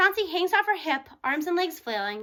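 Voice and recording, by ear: A woman's bright, sharp voice at an extremely high pitch, moving at a fairly quick pace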